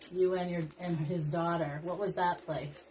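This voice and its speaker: Noticeable background noise is present. A woman speaks with a fairly low pitch. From rural US. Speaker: craft livestream host. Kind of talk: casual chat while crafting on a livestream. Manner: animated.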